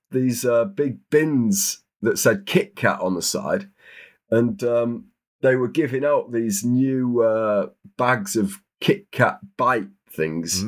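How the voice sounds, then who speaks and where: This man has a British accent and a medium pitch. The recording is very clean, with total silence behind him. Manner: slow, unhurried delivery; calm, soothing.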